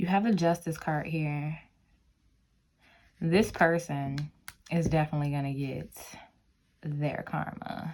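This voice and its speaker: Speaking at a very deep, low pitch and a fairly slow pace, a woman keeps fairly even intonation and takes long, frequent pauses. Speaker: tarot reader. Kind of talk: tarot reading to camera.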